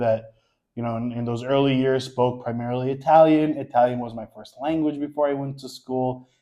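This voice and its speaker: With an American accent, a man speaks at a medium pitch and a fairly quick pace, his intonation monotone and flat but his loudness swinging widely. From New York, Queens. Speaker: social media creator. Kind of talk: casual chat.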